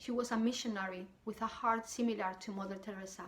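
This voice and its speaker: In a strong Spanish accent, a woman with a fairly high pitch speaks at a moderate pace, somewhat breathy, with fairly even intonation. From southern Spain. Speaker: wellness coach, YouTuber. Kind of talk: personal testimony to camera.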